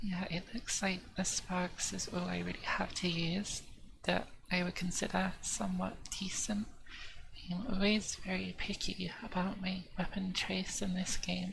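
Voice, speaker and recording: Soft-spoken, a woman talks at a moderate pace. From southern England. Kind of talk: ASMR gaming commentary.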